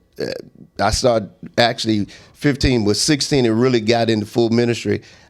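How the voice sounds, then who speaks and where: A man at medium pitch with fairly even intonation on a very clean recording with a silent background. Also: long, frequent pauses. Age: 60s. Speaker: pastor. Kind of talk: casual chat.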